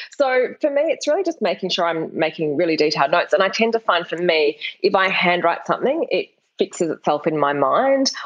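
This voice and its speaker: A woman with an Australian accent talks at a fairly quick pace in a medium pitch. Her pitch swings very widely. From Perth, Western Australia. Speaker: novelist. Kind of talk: interview.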